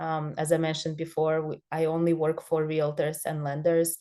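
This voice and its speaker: A woman talks in a fairly low pitch. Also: quiet background. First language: not English. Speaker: social media consultant for realtors. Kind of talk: online training presentation. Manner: halting, many fillers.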